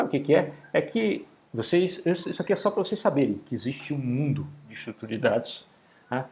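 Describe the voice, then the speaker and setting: A man talks fairly quickly in a fairly high, somewhat breathy voice. His pitch swings very widely. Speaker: university professor. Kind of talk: lecture. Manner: fast; casual, conversational.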